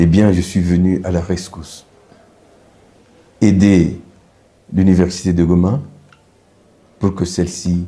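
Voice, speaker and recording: Speaking at a fairly slow pace, a man with a very deep, low pitch keeps a monotone, flat intonation. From DR Congo, Katanga. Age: 70s. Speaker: university rector and medical professor. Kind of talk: interview. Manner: formal.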